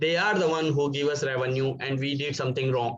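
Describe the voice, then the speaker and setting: A man's somewhat breathy voice sits at a fairly high pitch with fairly even intonation. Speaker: hospitality professional. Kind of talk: webinar talk. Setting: video call.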